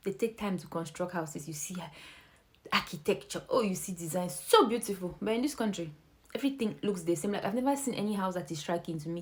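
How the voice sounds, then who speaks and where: A woman's somewhat breathy, medium-pitched voice at a very fast pace. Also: ordinary pitch variation. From Nigeria. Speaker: vlogger. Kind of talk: casual vlog monologue. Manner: animated.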